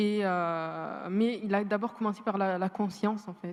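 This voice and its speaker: A woman talks in a monotone with flat intonation. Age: 20s. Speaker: law student and entrepreneur. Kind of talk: panel testimony. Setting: university amphitheatre with audience. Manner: hesitant, repeats words.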